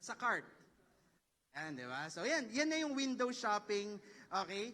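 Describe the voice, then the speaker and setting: Raising and projecting his high-pitched voice, a man with a Filipino accent speaks fairly slowly in a bright, sharp tone with very wide pitch swings. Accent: Filipino English, Taglish. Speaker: professor. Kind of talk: lecture. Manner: animated.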